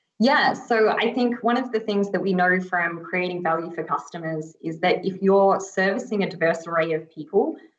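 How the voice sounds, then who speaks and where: Audible room echo surrounds a woman at a medium pitch. She speaks at a moderate pace with hardly any pauses. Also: ordinary pitch variation. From Australia. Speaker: agile coach. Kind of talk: conference panel talk.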